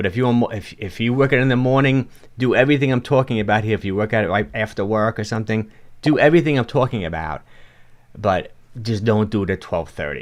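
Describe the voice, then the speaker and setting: Over a quiet background, a man with a strong New York accent speaks at a very fast pace. His pitch is medium, with ordinary variation. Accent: New York, fairly strong. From New York (Bronx, Yonkers). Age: 60s. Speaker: fitness coach. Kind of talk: livestream talk with chat Q&A. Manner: casual, halting.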